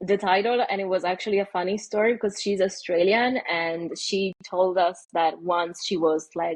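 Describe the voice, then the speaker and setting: A woman's medium-pitched voice with an Italian accent, at a moderate pace with fairly even intonation and hardly any pauses. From Italy. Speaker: AI ethicist. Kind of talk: podcast interview. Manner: hesitant, many fillers.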